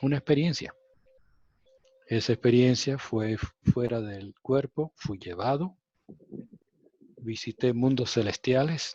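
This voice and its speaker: A man talks at a very slow pace with ordinary pitch variation and long, frequent pauses, the sound dry and close with no echo. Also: medium pitch for a man. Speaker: spiritual contactee. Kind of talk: interview testimony. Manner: halting.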